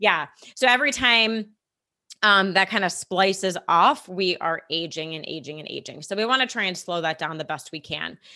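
A woman's bright, sharp tone with big swings in loudness. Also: medium pitch for a woman, lively intonation, moderate pace. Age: 30s. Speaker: podcast host, wellness. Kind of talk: casual educational chat. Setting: remote recording.

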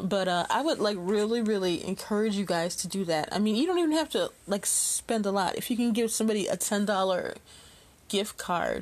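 Against a quiet background, a woman with an American accent speaks in an unremarkable speaking voice at medium pitch, with lively intonation and very even loudness. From US Midwest, far South Side of Chicago. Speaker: podcast host. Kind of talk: casual monologue. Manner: laughs often.

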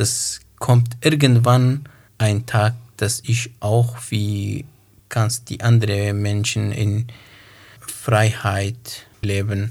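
On a very clean recording with a silent background, a man with a Kurdish accent speaks very slowly in a flat monotone, somewhat breathy and at medium pitch. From northern Iraq. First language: Kurmanji (speaking German). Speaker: poet and author. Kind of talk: interview. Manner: halting.

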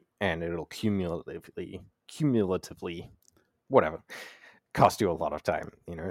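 Over a very clean recording with a silent background, a man with an Australian accent and a very deep, low pitch talks at a moderate pace with ordinary pitch variation. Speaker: podcast host and knife maker.

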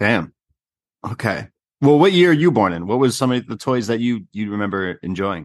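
With a normal speaking voice and a Canadian accent, the speaker moves at a moderate pace with lively intonation. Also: man, medium pitch for a man. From Canada. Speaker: podcast host. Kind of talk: casual chat. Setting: video call.

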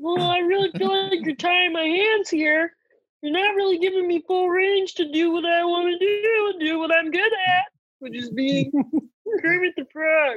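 Extremely high-pitched put-on character voice, moving at a moderate pace. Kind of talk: comic overacting. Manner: petulant, insistent.

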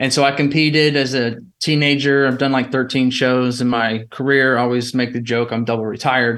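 A man with an Alabama accent at a medium pitch, fairly quick pace, hardly any pauses, very even loudness and monotone, flat intonation. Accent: Alabama Southern. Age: 30s. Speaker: entrepreneur. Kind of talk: casual chat.

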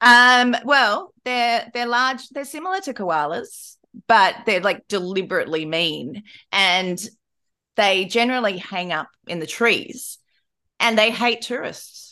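Against a quiet background, a woman with an Australian accent speaks very slowly in a bright, sharp tone, her fairly high pitch making very wide swings. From rural Australia. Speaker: podcast host. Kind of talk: casual chat.

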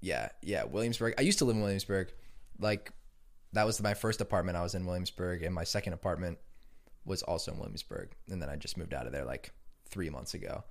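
A man talking at a very fast pace, on a very clean recording with a silent background. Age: 20s. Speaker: music producer and DJ. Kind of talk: casual chat.

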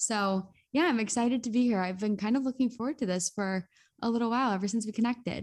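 Very fast speech in a Midwestern American accent, with ordinary pitch variation and a quiet background. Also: woman, fairly high pitch for a woman. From US Midwest (northeast Ohio). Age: 20s. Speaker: content creator and podcaster. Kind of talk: casual interview.

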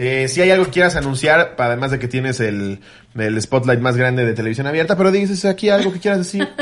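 The speaker is a man going very fast. Very wide swings mark his pitch. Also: medium pitch for a man. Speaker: comedy podcast host. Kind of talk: casual chat.

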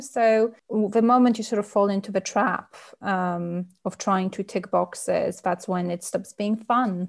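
This woman speaks with a Polish accent and a fairly high pitch. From Poland. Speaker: novelist. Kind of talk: interview.

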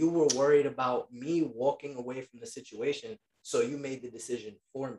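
The speaker talks in a New York accent, with big swings in loudness and ordinary pitch variation. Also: man. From Queens, New York. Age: 20s. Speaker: federal government worker and military veteran. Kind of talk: casual chat.

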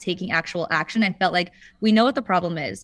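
In a very clean recording with a silent background, a woman has a plain, everyday voice at a medium pitch with fairly even intonation. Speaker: ocean conservation nonprofit program director. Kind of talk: interview answers.

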